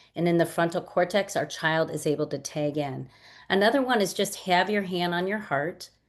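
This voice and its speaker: A normal speaking voice keeps a moderate pace and ordinary pitch variation over a quiet background. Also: woman, fairly low pitch for a woman. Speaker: webinar co-host, anxiety educator. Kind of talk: guided calming exercise in a webinar. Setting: online webinar.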